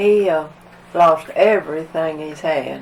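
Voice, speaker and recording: Someone speaks at a very slow pace with an Appalachian accent amid noticeable background noise. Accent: Appalachian Southern. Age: 100s (80s+). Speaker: flood survivor. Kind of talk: oral history interview. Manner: halting.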